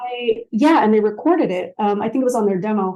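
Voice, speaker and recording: A woman with an American accent speaks in a fairly high pitch with a dark, mellow tone. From central Maine, US. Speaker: musician and radio show host. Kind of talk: casual interview chat. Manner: fast.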